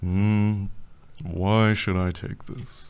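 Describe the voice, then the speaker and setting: A man's put-on character voice, fairly low in pitch, in a very clean recording with a silent background. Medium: audio drama. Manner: broken grammar, blunt.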